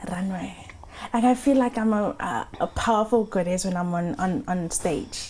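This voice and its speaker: Against noticeable background noise, a woman speaks at a medium pitch and moderate pace with lively intonation. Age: 30s. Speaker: model and makeup entrepreneur. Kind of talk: casual interview.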